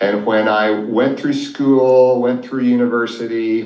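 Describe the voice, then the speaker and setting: A man speaks with an American accent and fairly even intonation. Audible room echo is present. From Oklahoma, US. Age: 60s. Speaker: financial advisor. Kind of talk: interview storytelling.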